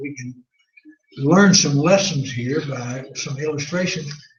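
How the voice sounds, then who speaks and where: Audible room echo surrounds a man speaking at a fairly high pitch and a fairly slow pace. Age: 80s+. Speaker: Bible class teacher. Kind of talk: Bible class lecture. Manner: halting.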